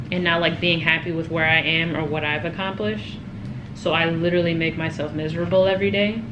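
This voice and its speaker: There is noticeable background noise and audible room echo as a woman speaks in a fairly low pitch. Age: 20s. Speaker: lifestyle vlogger. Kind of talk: casual chat. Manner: fast; animated.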